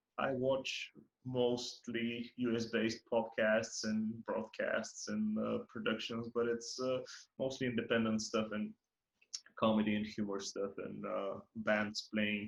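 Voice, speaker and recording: A man speaks at a medium pitch and a fairly slow pace, his intonation flat and monotone. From Bulgaria. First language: Bulgarian. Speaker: podcast host. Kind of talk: casual chat. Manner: halting, many fillers and repeats.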